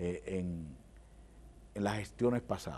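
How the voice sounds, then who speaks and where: The voice belongs to a man. It sounds dark and mellow. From Dominican Republic, Santo Domingo Este; Dominican Republic. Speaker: government official and lawyer; lawyer. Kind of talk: TV interview. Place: studio. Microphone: lapel.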